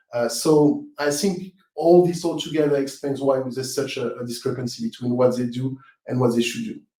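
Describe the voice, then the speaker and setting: With a strong French accent, a man with a fairly high pitch and a dark, mellow tone talks at a moderate pace with hardly any pauses and ordinary pitch variation. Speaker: webinar presenter. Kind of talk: live webinar Q&A. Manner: halting, many fillers and repetitions.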